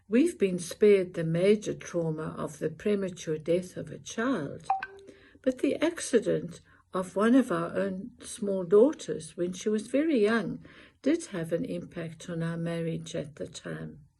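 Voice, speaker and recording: The voice has a dark, mellow tone with vocal fry. Its loudness swings widely. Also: woman, medium pitch for a woman, lively intonation, fairly slow pace. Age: 70s. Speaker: elderly interviewee sharing advice. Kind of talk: personal testimony.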